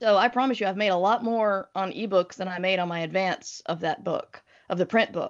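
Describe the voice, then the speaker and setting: At a medium pitch, a woman speaks at a fairly quick pace with ordinary pitch variation. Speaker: author and podcaster. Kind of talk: casual interview.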